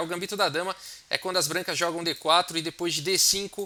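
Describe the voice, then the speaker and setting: The voice is raised and projected. The speaker has a Brazilian accent. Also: man. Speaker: chess teacher. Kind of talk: tutorial. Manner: hesitant, many fillers.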